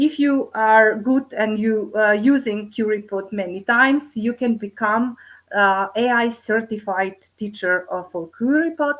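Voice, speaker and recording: A woman with a Macedonian accent speaks fairly slowly at a fairly high pitch, with ordinary pitch variation. The recording is very clean, with a silent background. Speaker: teacher presenting at conference. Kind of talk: conference presentation. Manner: halting, many fillers.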